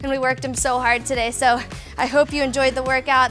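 The speech runs at a very fast pace. Faint music plays in the background. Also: woman. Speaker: fitness instructor. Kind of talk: workout instruction and outro. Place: studio. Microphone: headset.

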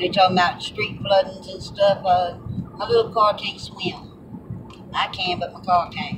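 Moderate pace amid noticeable background noise. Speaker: driver vlogger. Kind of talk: casual vlog chat. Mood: relaxed, somewhat disappointed. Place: car. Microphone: phone near.

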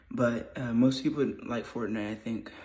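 A man talks at a moderate pace in a medium pitch. His tone is dark and mellow. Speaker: vlogger. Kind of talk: casual vlog. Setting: garage. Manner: rambling; casual.

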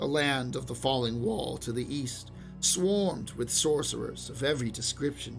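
A man speaks fairly slowly, with music in the background. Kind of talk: fantasy short story reading.

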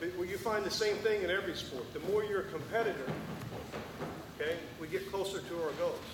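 A man speaks fairly quickly while background noise is clearly noticeable. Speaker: wrestling coach; former Olympic wrestler. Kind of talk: coaching clinic talk. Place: hall.

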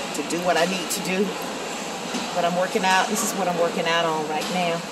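Loud background noise under a woman's moderate-paced speech. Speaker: vlogger. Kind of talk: casual vlog chat. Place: gym. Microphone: earbuds.

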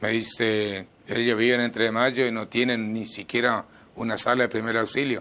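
A man's voice at a moderate pace, with monotone, flat intonation. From Misiones, Argentina. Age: 50s. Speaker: mayoral candidate; candidate. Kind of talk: interview. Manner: halting. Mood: calm, earnest. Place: studio. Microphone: lapel.

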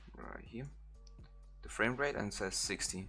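This man talks at a moderate pace with a German accent. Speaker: video editing tutorial creator. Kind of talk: software tutorial. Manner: halting, many fillers; casual.

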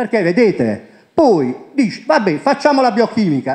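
A man's voice moves at a medium clip over a quiet backdrop. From Puglia, Italy (Monopoli); Puglia, Italy. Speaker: presenter. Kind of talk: conference talk. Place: hall. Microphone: handheld.

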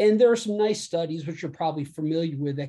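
A man's somewhat breathy, dark, mellow voice with an American accent. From United States. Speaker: physician. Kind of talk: lecture. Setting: video call. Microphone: video call.

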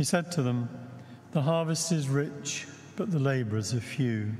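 Slightly breathy and dark, mellow in tone, a man speaks at a fairly slow pace with ordinary pitch variation. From England. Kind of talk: liturgy and homily. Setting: church. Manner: formal. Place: church.

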